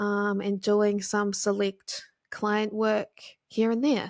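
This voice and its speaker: In a very clean recording with a silent background, a woman with a New Zealand accent speaks at a medium pitch. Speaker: podcast host, graphic designer. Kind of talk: casual solo podcast talk. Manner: casual, filler-heavy.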